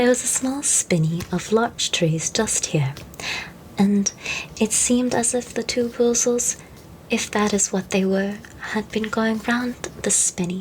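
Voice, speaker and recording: Noticeable background noise sits behind a soft-spoken voice. The tone is gentle and the pace fairly slow. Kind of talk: storybook narration, children's classic. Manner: soft-spoken, gentle.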